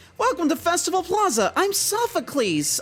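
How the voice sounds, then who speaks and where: A man puts on a cartoonish character voice pitched extremely high. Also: moderate pace. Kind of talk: anime voice.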